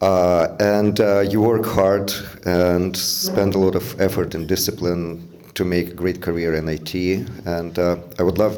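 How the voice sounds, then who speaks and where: With a non-native accent, a man talks at a fairly slow pace in a very deep, low pitch with ordinary pitch variation and audible room echo. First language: not English. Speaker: father of the groom. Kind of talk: wedding speech. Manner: halting, many fillers.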